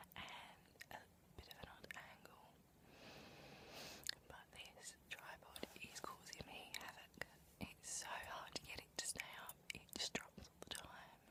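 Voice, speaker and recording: A woman whispers at a very slow pace. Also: big swings in loudness. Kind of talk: casual talk to camera. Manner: whispered, soft-spoken.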